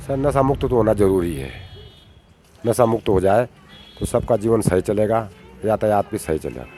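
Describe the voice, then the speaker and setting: A man talks with lively intonation at a fairly low pitch, leaving long, frequent pauses. Noticeable background noise runs behind him. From rural Uttarakhand, India. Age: 60s. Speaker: villager. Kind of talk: interview answers.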